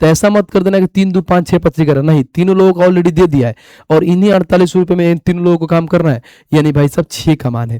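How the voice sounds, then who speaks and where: A man's high voice at a very fast pace, with ordinary pitch variation and a dry, close sound with no echo. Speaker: math teacher. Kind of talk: lecture. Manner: casual, conversational.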